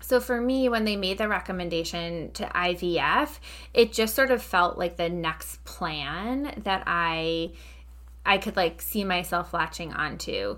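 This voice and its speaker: Speaking at a fairly slow pace with an American accent, a woman is heard on a very clean recording with a silent background. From Long Island, New York. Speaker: podcast host, infertility guest. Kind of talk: interview testimony.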